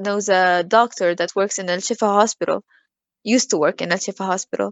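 Her intonation fairly even, a woman talks in an Arabic accent. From Gaza, Palestine. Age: 20s. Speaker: literature student. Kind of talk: interview.

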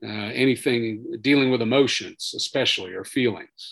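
At a moderate pace, a man with an ordinary speaking voice talks at a medium pitch with fairly even intonation. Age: 50s. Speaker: retired army sergeant major, veterans program director. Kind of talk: interview about personal trauma.

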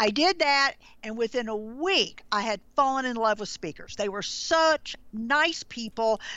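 A woman with a Southern US accent talks at a fairly slow pace, her fairly high voice carrying lively intonation. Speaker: branding consultant. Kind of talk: interview.

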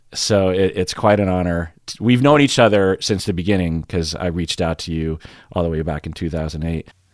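Very deep and low in pitch, a man speaks at a fairly quick pace with ordinary pitch variation on a very clean recording with a silent background. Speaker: podcast host and psychologist. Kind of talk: casual interview.

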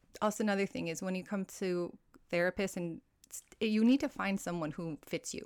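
A woman talks fairly quickly in a Hawaiian accent, at a medium pitch with ordinary pitch variation. Her loudness swings a lot, and the sound is dry and close with no echo. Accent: American (Hawaii). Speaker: well-being coach. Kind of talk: casual interview chat.

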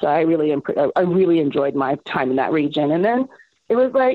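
A woman speaks in an ordinary speaking voice at a fairly quick pace. Her pitch is fairly low. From Miami, Florida. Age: 40s. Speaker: chef. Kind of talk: casual chat.

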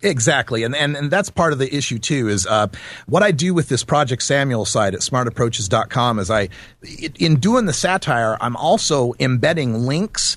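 A man with an American accent and an ordinary speaking voice, medium in pitch, lively in intonation and moderate in pace, against a quiet background. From Idaho, US. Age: 40s. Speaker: cannabis activist and radio host. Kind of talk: casual interview.

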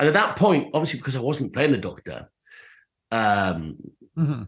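A man with an English accent talks at a very fast pace, his medium pitch leaping through very wide swings. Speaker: actor. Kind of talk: interview.

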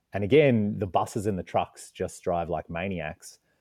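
A man's very deep, low voice with a dark, mellow tone and lively intonation, in an Australian accent, with a dry, close sound, no echo and a quiet background. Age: 30s. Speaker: adventure writer and photographer. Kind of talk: casual interview.

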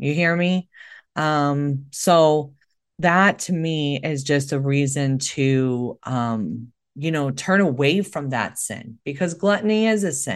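A woman with a very deep, low pitch speaks at a very slow pace with lively intonation against a quiet background. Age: 40s. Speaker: nurse and podcast host. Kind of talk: solo monologue podcast. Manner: halting, many fillers.

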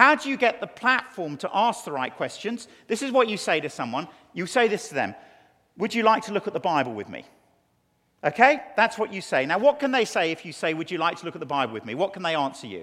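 Raised and projected, a man's high-pitched voice has a bright, sharp tone, moving at a very fast pace with very wide pitch swings and big swings in loudness. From England. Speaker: preacher. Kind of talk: sermon.

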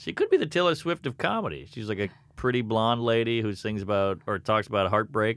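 An unremarkable speaking voice, this man with an American accent talks at a fairly quick pace and medium pitch with lively intonation. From US South, Louisiana. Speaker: comedian. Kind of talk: casual chat.

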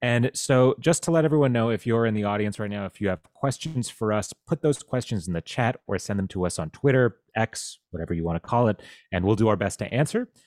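In a normal speaking voice, a man at a medium pitch talks at a fairly quick pace with lively intonation and hardly any pauses, in dry, close sound with no echo on a very clean recording with a silent background. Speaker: political journalist and podcast host. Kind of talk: live-streamed panel discussion.

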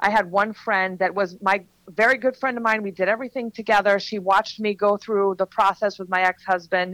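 In an ordinary speaking voice, a woman of medium pitch talks at a fairly quick pace with fairly even intonation, the sound dry and close with no echo. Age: 40s. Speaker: author and transformational coach. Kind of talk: podcast interview, personal testimony.

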